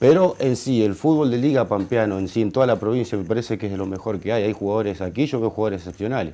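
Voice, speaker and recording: Talking at a very fast pace with hardly any pauses, a man has a dark, mellow tone, a fairly low pitch and ordinary pitch variation. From Argentina. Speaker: football player. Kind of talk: interview. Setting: studio. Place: studio.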